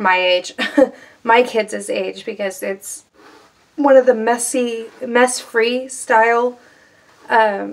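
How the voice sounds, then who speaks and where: Speaking at a very slow pace with long, frequent pauses, a woman keeps a fairly high pitch and fairly even intonation. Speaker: beauty and lifestyle vlogger; lifestyle vlogger. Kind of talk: casual vlog chat. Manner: rambling, conversational with fillers. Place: home room. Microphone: phone near.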